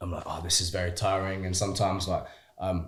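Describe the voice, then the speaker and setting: A man with a very deep, low pitch talks at a fairly quick pace in a somewhat breathy voice. The recording is very clean, with a silent background. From Shrewsbury, West Midlands, England. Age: young. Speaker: actor. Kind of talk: interview answer. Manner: casual, chatty.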